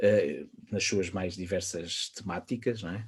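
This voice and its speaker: A somewhat breathy man with a European Portuguese accent. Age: 40s. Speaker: wine educator and author. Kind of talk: podcast interview.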